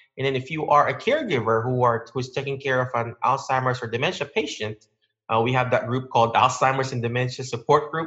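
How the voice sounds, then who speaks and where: A man's medium-pitched voice with a Filipino accent, fairly even intonation, and a quiet background. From Philippines. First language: Filipino language. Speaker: physical therapist. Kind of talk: interview.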